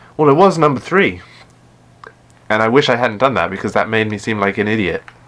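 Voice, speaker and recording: A man with an English accent speaks at a fairly quick pace in a fairly low pitch. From England. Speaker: gaming streamer. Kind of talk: live stream gameplay chat. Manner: hesitant, many fillers and restarts.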